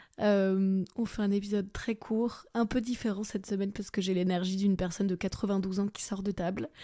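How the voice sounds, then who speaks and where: In a very clean recording with a silent background, a woman of medium pitch talks fairly quickly with hardly any pauses, her dark, mellow tone carrying monotone, flat intonation. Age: 30s. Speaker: comedian. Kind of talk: casual podcast voice note.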